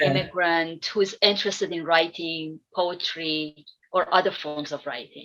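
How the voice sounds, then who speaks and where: A normal speaking voice from a woman, fairly low in pitch, fairly even in intonation, at a moderate pace with big swings in loudness. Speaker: poetry curator and event host. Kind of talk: interview questions.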